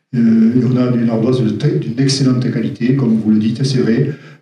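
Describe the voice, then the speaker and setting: Fairly quickly and in a flat monotone, a man talks at a medium pitch with a dark, mellow tone. His voice is somewhat breathy, and room echo is audible. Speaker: caving speaker giving a talk. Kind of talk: question and answer; lecture. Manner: fast; hesitant, many fillers.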